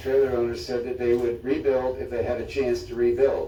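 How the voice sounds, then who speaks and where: A man at a very fast pace, with audible room echo and noticeable background noise. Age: 80s+. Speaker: trailer park resident speaking at public comment. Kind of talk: public comment at city meeting. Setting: city commission chambers.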